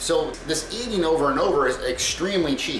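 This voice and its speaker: A man with a high voice, fairly quick delivery, audible room echo and light background noise. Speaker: content creator. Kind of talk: casual vlog chat. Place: kitchen. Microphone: camera far.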